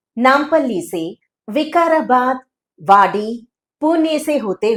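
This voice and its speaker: Her pitch sits high. The woman speaks with lively intonation. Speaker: dubbing artist, train announcement voice. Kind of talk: railway station train announcement in Hindi.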